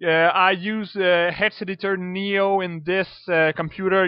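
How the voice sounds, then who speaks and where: The speech moves at a fairly slow pace in a French accent. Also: man. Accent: French accent, sounds Russian to himself. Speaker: video game modder. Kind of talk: tutorial. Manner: halting, many fillers.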